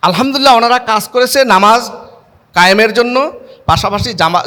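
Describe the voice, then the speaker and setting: A man with a high pitch uses a raised, projected voice and ordinary pitch variation. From Bangladesh, Chandpur. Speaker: charity branch head. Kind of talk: public speech.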